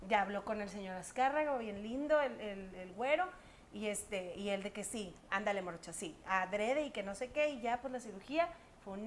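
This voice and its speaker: Noticeable background noise sits behind a woman who talks at a moderate pace with lively intonation and a fairly high pitch. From Monterrey, Mexico. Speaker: singer and TV presenter. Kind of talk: casual interview chat. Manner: animated.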